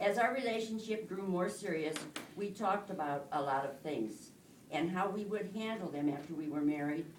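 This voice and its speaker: Speaking at a moderate pace, a woman has a fairly low pitch and lively intonation. Room echo can be heard. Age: old. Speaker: married woman giving testimony, retired nurse. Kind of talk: testimony. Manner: halting.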